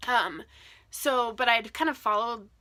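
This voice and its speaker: An American-accented woman speaks with a bright, sharp tone. Her delivery is animated. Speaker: book vlogger. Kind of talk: casual vlog monologue. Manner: fast.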